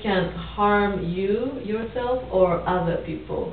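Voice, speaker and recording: A woman talks at a medium pitch. The recording carries audible room echo and noticeable background noise. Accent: Japanese. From Japan. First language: Japanese. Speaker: counseling student in role-play. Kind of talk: role-play counseling session. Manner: halting.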